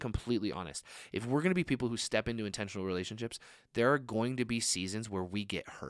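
In a very clean recording with a silent background, a man of medium pitch talks at a very fast pace with lively intonation. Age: 30s. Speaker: young adults pastor. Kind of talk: sermon.

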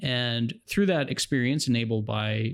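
A man's unremarkable speaking voice, an American accent, medium pitch with ordinary variation, fairly slow pace, in a very clean recording with a silent background. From New Jersey. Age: 30s. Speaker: customer experience executive. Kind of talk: interview.

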